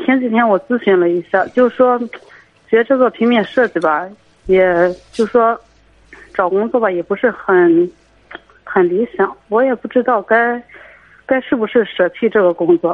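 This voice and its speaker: A fairly high-pitched woman's voice, fairly slow, with long, frequent pauses and ordinary pitch variation. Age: 20s. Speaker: radio call-in caller, print shop worker. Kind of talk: call-in advice conversation.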